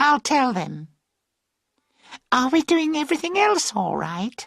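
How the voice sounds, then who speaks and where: Putting on a character voice, a woman speaks fairly slowly at a high pitch, swinging her pitch very widely. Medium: read story. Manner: chatty, light.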